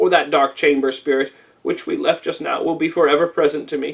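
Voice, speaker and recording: Putting on a character voice, a man speaks at a fairly quick pace with fairly high pitch. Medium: read story. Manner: earnest, pleading.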